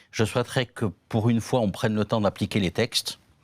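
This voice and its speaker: With a southern French accent, a man speaks at a medium pitch in a dry, close sound with no echo. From southern France. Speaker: law professor. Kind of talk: panel discussion. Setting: conference, partly remote audience.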